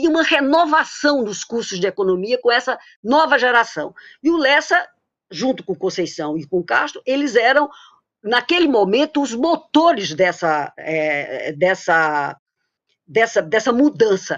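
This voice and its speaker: Against a quiet background, a woman with a Paraíba accent talks fairly slowly at a fairly high pitch, using vocal fry and very wide pitch swings. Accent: Paraíba (northeastern Brazilian). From Paraíba, northeastern Brazil. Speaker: economist, former professor. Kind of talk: tribute testimony in a webinar. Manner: halting, many false starts.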